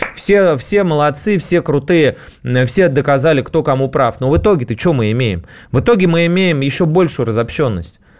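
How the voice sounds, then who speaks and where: A man with a fairly high pitch speaks at a moderate pace. His intonation is lively and his loudness very even. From Russia, St Petersburg and Moscow outskirts. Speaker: radio host. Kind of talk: casual radio monologue.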